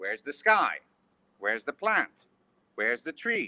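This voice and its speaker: At a moderate pace, a man speaks in a bright, sharp tone, the sound dry and close with no echo. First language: not English. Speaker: education volunteer and webinar panelist. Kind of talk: webinar talk. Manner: hesitant, many fillers.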